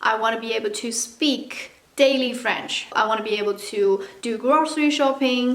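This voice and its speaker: A woman speaks with a Mandarin accent at a moderate pace, her pitch high with ordinary variation. Noticeable background noise runs underneath. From China. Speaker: vlogger. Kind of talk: casual tutorial vlog. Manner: casual, chatty.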